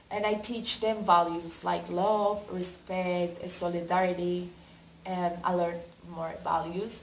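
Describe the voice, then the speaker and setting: A woman with a Colombian accent at a very slow pace, monotone and flat, amid audible room echo and noticeable background noise. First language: Spanish. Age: 20s. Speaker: university student and volunteer applicant. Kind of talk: application video answering questions. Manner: halting.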